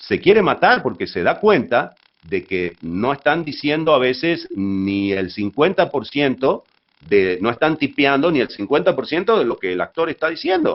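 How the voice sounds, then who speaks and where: This man's voice is fairly high in pitch and swings very widely up and down. He talks at a moderate pace. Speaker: voice actor, dubbing talent. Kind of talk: interview answer about dubbing. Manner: conversational, fluent, explanatory.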